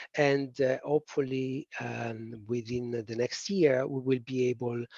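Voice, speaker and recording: Speaking with a strong Italian accent, a man with a medium-pitched voice sounds dry and close, with no echo. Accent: thick Italian. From Italy. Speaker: policy presenter. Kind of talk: webinar presentation. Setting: online webinar. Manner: hesitant, many fillers.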